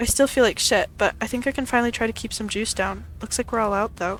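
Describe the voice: Over music in the background, a woman uses a hoarse, put-on character voice with a fairly high pitch. She speaks at a very fast pace with fairly even intonation.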